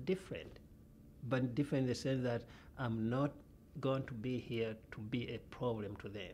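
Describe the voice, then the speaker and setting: This man talks at a moderate pace with a medium pitch and a somewhat breathy quality. His pitch varies in an ordinary way. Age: old. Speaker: journalism professor. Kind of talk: interview. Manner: halting.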